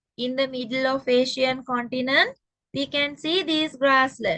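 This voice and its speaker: A woman speaks very slowly in a raised, projected voice, her tone bright and sharp, her pitch high and her intonation fairly even, with a Sri Lankan accent. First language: Sinhala. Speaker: teacher. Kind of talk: lecture.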